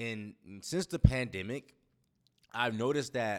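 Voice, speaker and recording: A man speaks at a fairly slow pace with an animated tone, lively intonation and medium pitch, on a very clean recording with a silent background. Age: 30s. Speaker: podcast host. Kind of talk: casual monologue.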